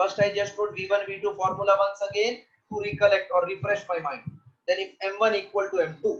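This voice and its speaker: A man speaks in a high pitch. His intonation stays fairly even. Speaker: physics teacher. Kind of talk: lecture. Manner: slow.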